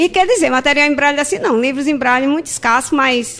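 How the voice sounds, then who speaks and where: A woman speaks with ordinary pitch variation. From Gravatá, Pernambuco. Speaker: court employee and braille teacher. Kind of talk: radio interview.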